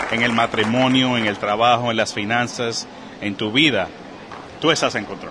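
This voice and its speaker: Medium pitch from a man at a moderate pace, fairly even intonation, audible room echo and noticeable background noise. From Puerto Rico, Caguas. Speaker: personal finance coach and author. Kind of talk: interview conversation. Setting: podcast conference in Texas.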